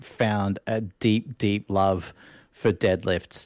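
Someone speaks at a very slow pace in an Australian accent. The recording is very clean, with a silent background. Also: man. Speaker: Twitch streamer and martial arts coach. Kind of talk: casual interview chat. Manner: animated.

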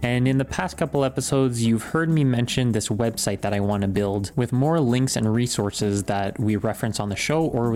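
A man's plain, everyday voice at medium pitch, fairly quick with hardly any pauses, ordinary pitch variation and very even loudness. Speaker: podcast host. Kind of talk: casual chat. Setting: home office. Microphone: sounds different from usual studio recording.

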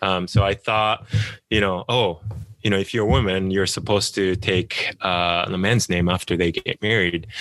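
Speaking in a Japanese accent, a man with a very deep, low pitch has a bright, sharp tone and fairly even intonation. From Japan, small town near Tokyo. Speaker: author. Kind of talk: interview. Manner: hesitant, many fillers.

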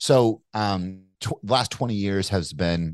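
Recorded with a dry, close sound, no echo and a quiet background, a man speaks with ordinary pitch variation. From Kentucky. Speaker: entrepreneur and investor. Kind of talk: casual interview conversation. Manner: casual, animated, swears.

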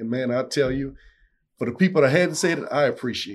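In a South Louisiana accent, a man speaks against a quiet background. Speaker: owner-operator truck driver. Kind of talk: casual interview. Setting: studio.

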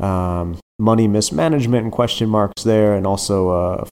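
A man with an American accent speaks at a fairly quick pace with a fairly low pitch and ordinary pitch variation, in an ordinary speaking voice, with a dry, close sound and no echo. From United States. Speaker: soccer journalist. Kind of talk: casual interview chat.

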